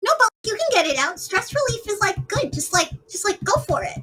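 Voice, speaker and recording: A squeaky, put-on character voice at an extremely high pitch, moving at a fairly quick pace. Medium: actual play. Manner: stammering, jittery.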